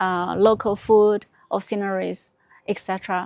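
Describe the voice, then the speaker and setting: A woman with a Chinese accent speaks at a medium pitch and a fairly slow pace with fairly even intonation, the sound dry and close with no echo. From China. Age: 30s. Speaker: vlogger. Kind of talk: personal vlog narration. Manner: halting, with repetitions.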